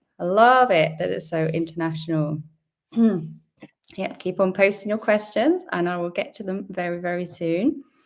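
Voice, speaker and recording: A woman talks with a British accent. Her pitch sits in the medium range. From UK. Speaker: fertility and pregnancy coach. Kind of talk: live Q&A stream. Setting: live video stream. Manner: chatty, friendly.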